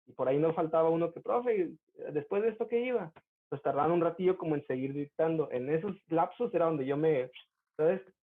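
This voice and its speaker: Speaking very fast in an animated tone, a man with a Mexican accent has a fairly high pitch and ordinary pitch variation. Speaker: university student. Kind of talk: casual chat.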